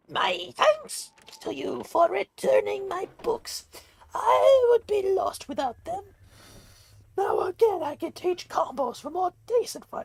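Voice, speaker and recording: Someone uses a put-on character voice with an extremely high pitch, at a fairly slow pace. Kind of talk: courteous, formal.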